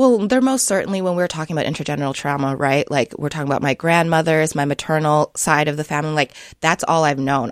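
In a dry, close recording with no echo, a woman with a very deep, low pitch talks at a very fast pace with ordinary pitch variation. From Sioux Falls, South Dakota. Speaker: children's book author and early childhood educator. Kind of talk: radio interview. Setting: studio.

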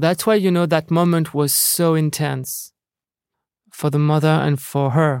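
At a fairly slow pace, a man with a French accent speaks at a fairly high pitch, with fairly even intonation and very even loudness, in a very clean recording with a silent background. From France. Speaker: film director. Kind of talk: interview. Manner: halting.

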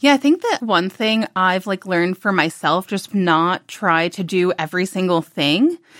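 With an American accent and a normal speaking voice, a woman talks at a moderate pace and medium pitch with ordinary pitch variation and hardly any pauses, the recording very clean with a silent background and a dry, close sound with no echo. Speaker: food writer and reporter. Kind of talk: casual interview.

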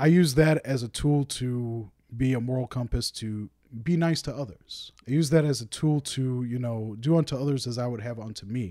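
A man with an American accent, medium pitch and a dark, mellow tone, at a moderate pace with ordinary pitch variation, on a very clean recording with a silent background. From Minnesota, Saint Paul. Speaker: music writer and DJ. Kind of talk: casual interview. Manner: halting.

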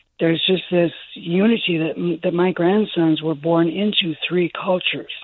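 The voice carries an American accent with monotone, flat intonation. Its loudness stays very even. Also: woman. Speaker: grandmother. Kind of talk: call-in comment. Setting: phone call.

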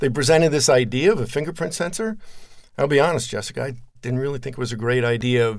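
A plain, everyday voice, from a man with an American accent. His pitch is medium, with ordinary variation. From New Jersey. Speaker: tech entrepreneur. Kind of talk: interview.

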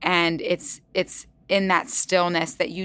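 At a moderate pace, a woman with a normal speaking voice speaks at a fairly low pitch with ordinary pitch variation, in a very clean recording with a silent background. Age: 40s. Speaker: fitness instructor. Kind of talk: interview. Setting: studio.

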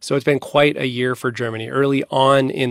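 This is a normal speaking voice from a man at medium pitch. He talks at a fairly quick pace with ordinary pitch variation. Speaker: foreign correspondent. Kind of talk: news report conversation.

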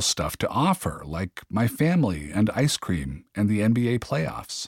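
Dry and close with no echo, a man's fairly low voice comes at a fairly slow pace in a gentle, warm tone on a very clean recording with a silent background. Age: 50s. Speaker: podcast host and author. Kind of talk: audiobook reading of a memoir, personal and confessional. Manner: conversational, wry and self-deprecating, gentle humor, unhurried; earnest, warm, reflective.

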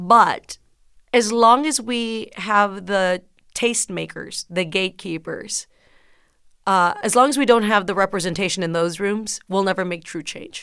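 At a fairly slow pace, a woman speaks in a bright, sharp tone, her medium pitch showing ordinary variation. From South Texas, McAllen. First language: Spanish. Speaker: comedian and author. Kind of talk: interview. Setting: remote call.

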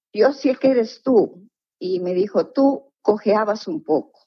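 Lively intonation in a fairly high female voice. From northern Peru. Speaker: retired teacher, story subject. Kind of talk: interview storytelling.

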